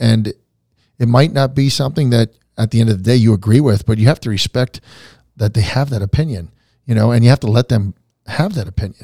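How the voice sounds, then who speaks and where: Somewhat breathy, a man at medium pitch with ordinary pitch variation talks at a very fast pace, broken up by long, frequent pauses. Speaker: country musician. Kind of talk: interview testimony. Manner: animated.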